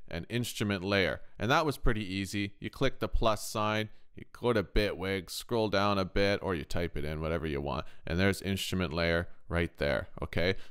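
On a very clean recording with a silent background, a man with a Canadian accent speaks at a moderate pace with lively intonation. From Canada. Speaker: music production youtuber and guitar tech. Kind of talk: tutorial. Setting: in a kitchen. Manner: casual.

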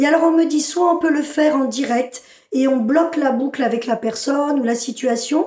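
A woman talks at a high pitch and a moderate pace, with ordinary pitch variation and very even loudness. There is audible room echo over a quiet background. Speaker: spiritual channeler. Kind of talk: channeled spiritual message. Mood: inward, trance-like channeling. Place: home room. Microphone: phone near.

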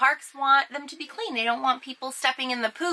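A woman talks at a fairly quick pace. Her pitch is high. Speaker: RV vlogger. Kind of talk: casual vlog tips. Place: home room.

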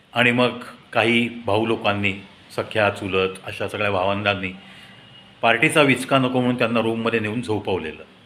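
A man's fairly low voice at a moderate pace, with ordinary pitch variation, a bright, sharp tone and audible room echo.

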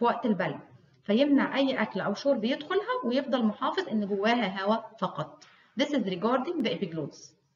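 A woman with an Egyptian accent, high-pitched, with very wide pitch swings. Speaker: histology lecturer. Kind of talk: lecture. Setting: recorded video lecture.

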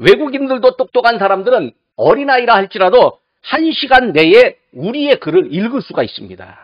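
Against a quiet background, a man's voice sits at an extremely high pitch and makes very wide pitch swings, the sound dry with no echo. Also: moderate pace. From South Korea. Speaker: pastor. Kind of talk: sermon. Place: church. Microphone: podium.

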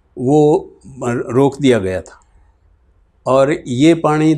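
His intonation is fairly even. The man delivers his words at a very slow pace. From Bahawalnagar region, Punjab, Pakistan; raised in Haryana; Punjab, Pakistan. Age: 70s. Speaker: retired politician, partition survivor. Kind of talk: oral history interview. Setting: in person in Sirsa. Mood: earnest, reflective storytelling. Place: home room. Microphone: lapel.

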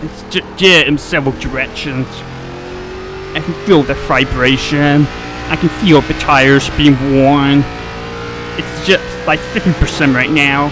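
A man with an American accent speaks with long, frequent pauses over noticeable background noise. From North Carolina. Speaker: sim racing streamer. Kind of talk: live gameplay commentary. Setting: home gaming setup. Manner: casual, filler-heavy.

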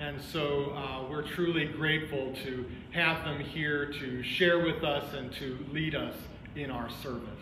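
Over noticeable background noise, a man speaks fairly slowly in a monotone, flat delivery. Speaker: pastor. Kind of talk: worship welcome and announcements. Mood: warm, welcoming. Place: church.

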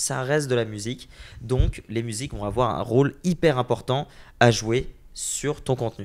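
Fairly slow and with fairly even intonation, a man speaks in an ordinary speaking voice. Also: medium pitch for a man. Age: 20s. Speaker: entrepreneur and content creator; content creator. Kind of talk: interview. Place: home room. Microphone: handheld.

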